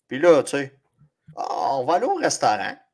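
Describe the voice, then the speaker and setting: A man speaks in a Quebec accent. The recording is very clean, with a silent background. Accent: Québécois French. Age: 40s. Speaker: fantasy football podcast co-host. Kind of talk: casual chat.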